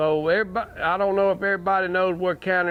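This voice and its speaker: With a Southern US accent, a man speaks at a fairly quick pace and with fairly even intonation. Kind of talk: storytelling to a small audience. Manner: casual, folksy.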